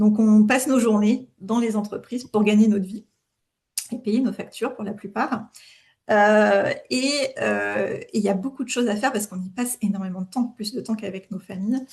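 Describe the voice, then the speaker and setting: Her voice somewhat breathy, a woman speaks at a fairly high pitch and a moderate pace with fairly even intonation. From France. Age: 40s. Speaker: author and HR manager. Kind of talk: interview. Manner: hesitant, many fillers.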